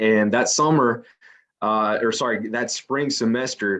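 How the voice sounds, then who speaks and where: This man speaks with a Spanish accent and a fairly low pitch. His pace is moderate and his intonation fairly even. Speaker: company recruiter presenting to students. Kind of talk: career info session presentation. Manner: many fillers and repetitions, somewhat halting.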